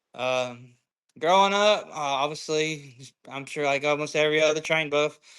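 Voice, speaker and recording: A man with a Southern US accent talks at a moderate pace. His pitch is fairly high and his tone is bright and sharp. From US South, Georgia. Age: 20s. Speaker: train conductor. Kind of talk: casual chat.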